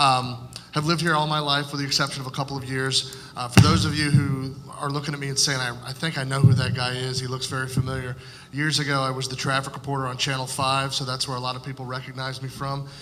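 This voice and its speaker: A man with an American accent talks very fast at a medium pitch in a flat monotone. Audible room echo and noticeable background noise surround his voice. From Florida (Fort Pierce). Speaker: political candidate. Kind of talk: candidate forum opening statement. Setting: public forum with audience. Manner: frequent filler words (uh, um).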